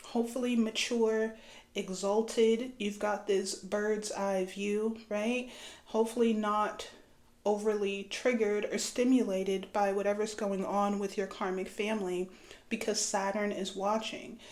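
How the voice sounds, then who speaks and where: The speech is fairly slow, with monotone, flat intonation. An audible room echo surrounds the voice. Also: woman, medium pitch for a woman. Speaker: astrology and tarot reader. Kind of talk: spiritual reading monologue. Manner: casual, conversational.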